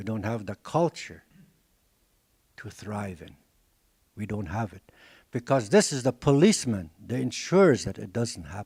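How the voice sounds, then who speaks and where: A man with a fairly low, somewhat breathy voice speaks at a moderate pace, his intonation lively and his loudness swinging widely. He leaves long, frequent pauses, and the recording is very clean with a silent background and a dry, close sound free of echo. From Dakota community, North America. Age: 70s. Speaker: language teacher and elder. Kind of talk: lecture.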